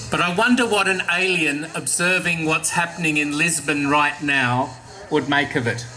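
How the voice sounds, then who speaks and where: With an Australian accent, a man speaks at a fairly high pitch and moderate pace with ordinary pitch variation, and noticeable background noise can be heard. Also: very even loudness. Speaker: archbishop. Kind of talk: catechetical talk to young audience.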